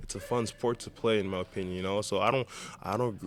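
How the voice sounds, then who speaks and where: A man with a slight Brazilian accent speaks at a fairly low pitch. His pace is fairly quick and his intonation monotone and flat. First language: Portuguese. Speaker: indoor soccer goalkeeper. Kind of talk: interview. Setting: indoor soccer arena.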